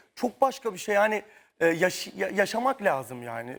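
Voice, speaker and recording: A man's high-pitched voice. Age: 30s. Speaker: dancer. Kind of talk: talk show interview. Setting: tv studio.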